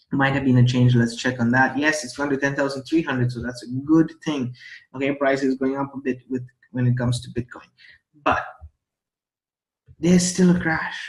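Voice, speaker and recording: Somewhat breathy and medium in pitch, a man speaks at a moderate pace with fairly even intonation and long, frequent pauses. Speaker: crypto trading youtuber. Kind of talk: casual vlog tutorial. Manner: stumbles over words.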